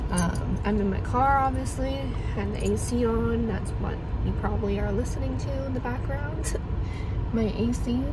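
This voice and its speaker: The speech moves at a moderate pace. Loud background noise sits behind it. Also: woman. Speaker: vlogger. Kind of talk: casual vlog chat. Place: car. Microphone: phone near.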